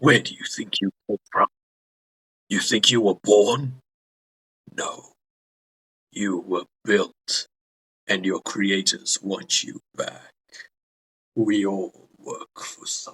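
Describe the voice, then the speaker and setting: A man's put-on character voice, fairly low in pitch, at a very slow pace with long, frequent pauses. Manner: menacing.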